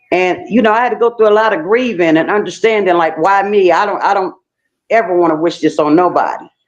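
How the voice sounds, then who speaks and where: A woman talks at a medium pitch and a fairly quick pace, with ordinary pitch variation. Music plays in the background. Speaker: stroke survivor. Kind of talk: testimony. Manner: slight slur when speaking fast; halting.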